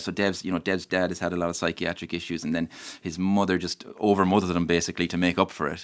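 Someone speaks at a fairly quick pace with an Irish accent. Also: man. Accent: Irish (Mayo). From Ireland, County Mayo. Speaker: novelist. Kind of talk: radio interview. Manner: halting, many false starts.

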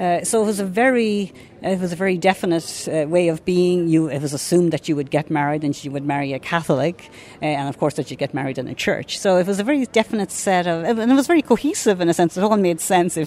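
With music behind her, a woman with a fairly low pitch talks at a very fast pace and lively intonation. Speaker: professor. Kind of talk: academic explanation in a radio interview. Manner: measured, analytical.

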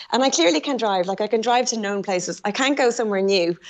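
A woman at medium pitch and a fast pace

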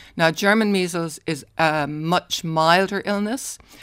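The speaker has an Irish accent. The recording is very clean, with a silent background. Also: woman. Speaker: retired paediatrician. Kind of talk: radio interview. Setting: studio.

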